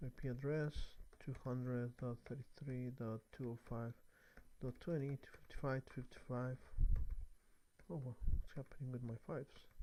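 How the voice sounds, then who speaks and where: With a non-native accent, the speaker uses a dark, mellow tone and fairly even intonation at a moderate pace, leaving long, frequent pauses. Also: man, medium pitch for a man. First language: not English. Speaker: networking tutorial creator. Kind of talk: tutorial. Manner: halting. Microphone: new microphone.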